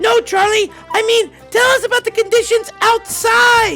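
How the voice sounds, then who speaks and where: A cartoonish character voice at an extremely high pitch moves along at a moderate pace. Music plays clearly in the background. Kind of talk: mock TV news anchor. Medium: puppet.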